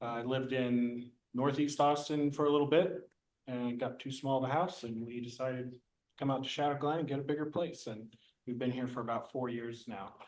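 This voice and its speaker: This man has a normal speaking voice with an American accent and medium pitch. He talks at a fairly quick pace with fairly even intonation. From California. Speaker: board candidate. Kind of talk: candidate self-introduction at public meeting. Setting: public meeting.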